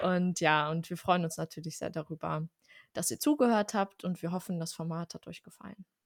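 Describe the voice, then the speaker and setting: A woman's fairly low voice, a plain, everyday voice, with ordinary pitch variation and a dry, close sound free of echo on a very clean recording over a silent background. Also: moderate pace. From Germany, Armenian family. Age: 20s. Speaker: podcast co-host. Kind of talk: casual chat.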